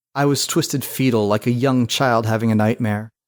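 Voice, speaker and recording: A man with a normal speaking voice talks at medium pitch and a fairly quick pace, his intonation fairly even, in a very clean recording with a silent background. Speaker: storyteller. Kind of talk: podcast novel narration.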